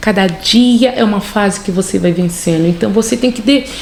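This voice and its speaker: A woman talks at a moderate pace with a Rio de Janeiro accent and lively intonation. Noticeable background noise sits behind her. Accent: Carioca Brazilian Portuguese. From Rio de Janeiro, Brazil. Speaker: nurse. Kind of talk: interview answer. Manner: relaxed, chatty.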